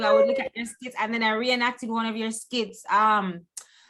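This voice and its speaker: Speaking with a Jamaican accent, a woman uses a high pitch and a bright, sharp tone with fairly even intonation. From Jamaica, Clarendon parish. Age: 40s. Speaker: content creator, guest. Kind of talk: casual chat.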